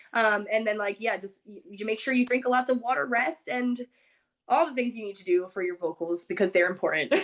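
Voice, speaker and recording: A woman with a fairly high voice talks loudly at a very fast pace. Her tone is animated and her intonation lively. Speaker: singer. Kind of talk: interview.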